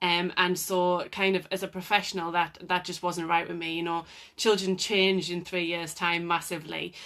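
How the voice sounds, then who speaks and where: With a North East England accent, a woman speaks in a fairly low, monotone voice with a bright, sharp tone. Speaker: occupational therapist. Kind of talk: live Q&A talk. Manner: hesitant, many fillers.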